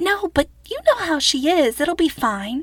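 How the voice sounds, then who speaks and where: In a put-on character voice, a woman squeaks at an extremely high pitch with very wide pitch swings and a moderate pace, the sound dry and close with no echo. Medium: read story. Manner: exasperated, big-sisterly.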